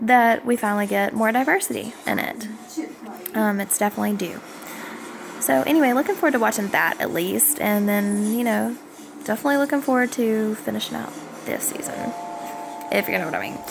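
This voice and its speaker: A woman with a Southern US accent talks at a fairly quick pace with a fairly high pitch and lively intonation. Long, frequent pauses break up her speech, and there is noticeable background noise. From US South. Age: 20s. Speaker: vlogger. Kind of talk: casual vlog monologue. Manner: hesitant with many fillers.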